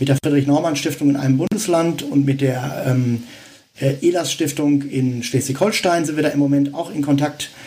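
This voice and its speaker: Fairly even intonation comes through noticeable background noise. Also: man. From Westphalia, Germany (Dortmund). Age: 50s. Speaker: founder of a civic association. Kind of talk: interview. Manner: hesitant, many fillers.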